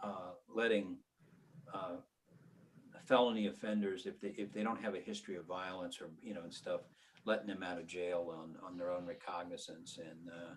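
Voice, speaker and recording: Speaking at a moderate pace, a man with a very deep, low pitch shows big swings in loudness and takes long, frequent pauses. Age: 70s. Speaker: criminal defense attorney. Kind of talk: casual chat.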